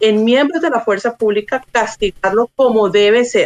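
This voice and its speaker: A woman's unremarkable speaking voice, fairly high in pitch, at a fairly slow pace with ordinary pitch variation, in a dry, close sound with no echo. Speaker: Colombian consular official. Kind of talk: interview. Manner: formal.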